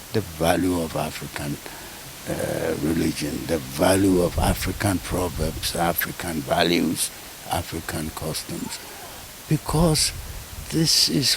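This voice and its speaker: Over noticeable background noise, a man with a very deep, low pitch speaks at a very slow pace. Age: 80s+. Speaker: retired lecturer, professor. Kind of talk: interview answer.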